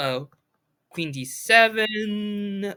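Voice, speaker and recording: In a very clean recording with a silent background, a woman at medium pitch speaks in a bright, sharp tone with very wide pitch swings. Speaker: chess commentator. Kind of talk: game review commentary. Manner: halting, stutters.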